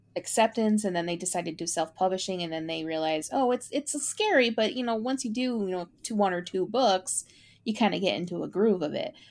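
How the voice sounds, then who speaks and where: With an unremarkable speaking voice of medium pitch, a woman talks at a fairly quick pace with lively intonation and hardly any pauses. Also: very clean recording, silent background. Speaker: podcast host. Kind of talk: casual chat.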